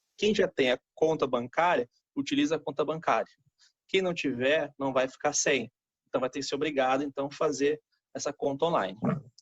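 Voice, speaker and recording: A man with a plain, everyday voice, fairly high pitch, ordinary pitch variation, and moderate pace, in a dry, close sound with no echo. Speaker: accountant. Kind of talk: tutorial. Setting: live stream.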